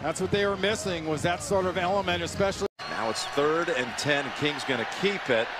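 Over noticeable background noise, a man with a high pitch talks at a fairly quick pace. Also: ordinary pitch variation. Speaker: color commentator. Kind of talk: live football color analysis. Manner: chatty, admiring analyst breaking down replays.

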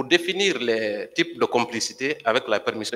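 A man's voice carries a bright, sharp tone and lively intonation. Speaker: civil party lawyer. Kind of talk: courtroom questioning. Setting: courtroom. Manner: formal. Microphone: podium.

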